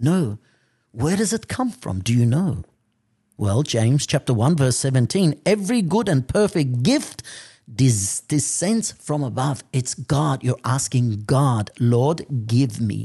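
Against a quiet background, a man at a medium pitch talks at a very slow pace in a dark, mellow, somewhat breathy tone, with very wide pitch swings. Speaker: priest. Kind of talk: sermon.

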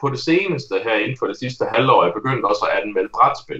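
A man speaks at a moderate pace. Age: 30s. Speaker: game reviewer. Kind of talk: casual chat.

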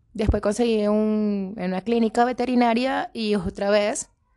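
A woman of medium pitch has an ordinary speaking voice with fairly even intonation. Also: quiet background. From Caracas, Venezuela. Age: 30s. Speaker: Venezuelan migrant, administration technician. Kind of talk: testimony and cultural presentation.

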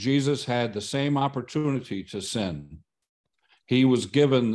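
With an American accent, a man speaks at a fairly slow pace and medium pitch, with ordinary pitch variation against a quiet background. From US Midwest (Michigan). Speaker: Bible study participant. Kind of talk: Bible study discussion. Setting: video call.

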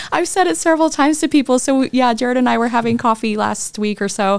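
Lively intonation marks a woman's fairly quick talk in an unremarkable speaking voice. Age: 40s. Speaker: podcast host sharing her illness story. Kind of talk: casual chat and personal testimony.

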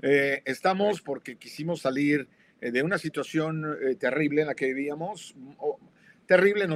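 A man's ordinary speaking voice with ordinary pitch variation at a moderate pace, in a very clean recording with a silent background. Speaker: co-host. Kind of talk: live talk show discussion. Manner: jovial.

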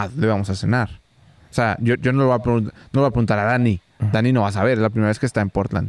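Over a very clean recording with a silent background, a man talks at a very fast pace and a fairly low pitch, with ordinary pitch variation. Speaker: podcast co-host, event videographer. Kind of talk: casual chat. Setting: rented cabin, Nuevo León.

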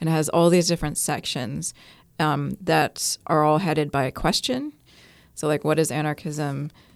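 This woman's very deep, low voice carries fairly even intonation and an American accent. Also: very clean recording, silent background. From US (New York, California). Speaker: anarchist group member, podcast co-host. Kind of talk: casual discussion.

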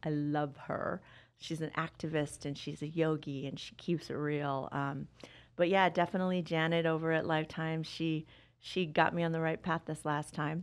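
Against a quiet background, a woman with an American accent speaks at a very deep, low pitch with monotone, flat intonation. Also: moderate pace. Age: 50s. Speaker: wellness coach. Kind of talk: interview. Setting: studio.

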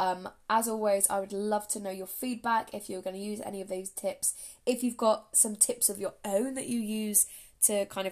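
A woman speaks with an English accent at a fairly quick pace. Her pitch sits in the medium range. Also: very clean recording, silent background. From England. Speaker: podcast host. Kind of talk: solo podcast monologue, casual. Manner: chatty, upbeat.

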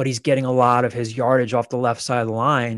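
Recorded very cleanly against a silent background, the voice moves at a moderate pace with monotone, flat intonation. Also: man. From Pennsylvania, Philadelphia area. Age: 40s. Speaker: sports journalist, editor. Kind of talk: casual chat.

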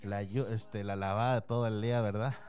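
Moderate speed and a fairly low pitch from a man with an ordinary speaking voice. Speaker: local radio host. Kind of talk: casual radio show chat. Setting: radio studio.

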